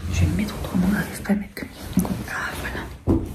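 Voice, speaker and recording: Someone whispers at a moderate pace. The recording carries audible room echo and noticeable background noise. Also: woman. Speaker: beauty vlogger and nail technician. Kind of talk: casual vlog chat. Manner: speaking very softly.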